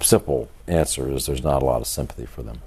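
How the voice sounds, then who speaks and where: Through noticeable background noise, a man speaks with a very deep, low pitch. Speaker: author. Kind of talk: interview answer.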